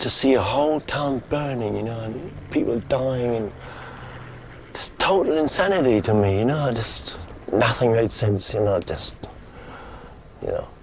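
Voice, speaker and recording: Against noticeable background noise, a man with a medium-pitched voice speaks at a fairly slow pace with ordinary pitch variation. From Germany (Stettin). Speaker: busker. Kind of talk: interview testimony.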